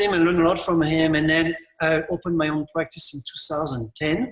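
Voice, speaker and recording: The speaker is a man. He talks with a French accent. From France. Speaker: landscape architect. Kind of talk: conference presentation. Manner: halting.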